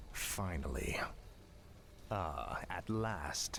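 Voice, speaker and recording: Clear background noise behind a put-on character voice. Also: man, fairly low pitch for a man. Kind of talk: video game unit responses. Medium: video game. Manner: cold, terse.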